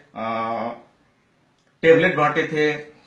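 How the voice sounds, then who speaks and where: A man talks with a fairly high pitch, and the room's echo is audible. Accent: non-native. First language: Nepali (speaking Hindi). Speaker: citizen commentator. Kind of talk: political opinion monologue. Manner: halting, many fillers.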